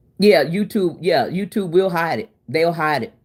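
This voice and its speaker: On a very clean recording with a silent background, a woman with a fairly low voice speaks at a fairly quick pace in an animated tone, with ordinary pitch variation. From Oklahoma City, US. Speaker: cooking livestreamer. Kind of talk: casual live-stream chat. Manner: loud.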